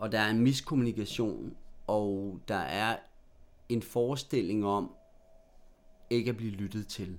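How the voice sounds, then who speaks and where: This man talks at a very slow pace with a fairly low pitch. His pitch variation is ordinary. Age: 40s. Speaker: novelist. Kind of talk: interview conversation. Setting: apartment.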